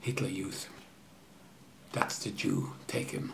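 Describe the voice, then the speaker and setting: Very slowly, a man speaks through noticeable background noise and audible room echo. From Austria (Vienna). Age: 80s+. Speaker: Holocaust survivor. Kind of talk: testimony.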